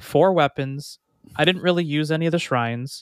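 Here a man with a normal speaking voice and fairly high pitch talks at a fairly quick pace with ordinary pitch variation, in a dry, close sound with no echo on a very clean recording with a silent background. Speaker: podcast co-host. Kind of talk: casual chat.

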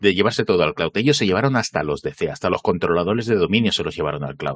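Very wide pitch swings come through in a dry, close sound with no echo. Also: man. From northern Spain, Asturias (Gijón). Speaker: cloud computing trainer. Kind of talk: casual interview. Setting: live stream, studio.

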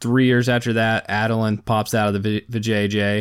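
A man with an unremarkable speaking voice talks at a medium pitch in a very clean recording with a silent background. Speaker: podcast host. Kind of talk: casual solo monologue.

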